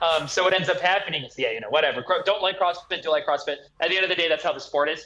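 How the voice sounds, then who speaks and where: A loud man with a bright, sharp tone, a high pitch and ordinary pitch variation, talking at a very fast pace. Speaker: personal trainer and kettlebell coach. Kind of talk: casual podcast conversation. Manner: animated.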